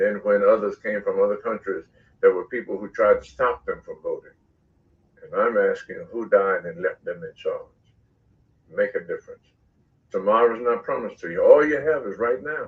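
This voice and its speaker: Long, frequent pauses break up speech delivered at a moderate pace. The loudness swings widely. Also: man. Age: 60s. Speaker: pastor. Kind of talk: exhortation to the community. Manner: impassioned, preacher-like.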